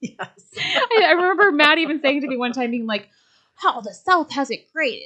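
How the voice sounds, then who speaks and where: A woman's raised, projected voice, high-pitched with a bright, sharp tone, very wide pitch swings and a moderate pace. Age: 30s. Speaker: wedding industry professional. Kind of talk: casual chat. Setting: studio.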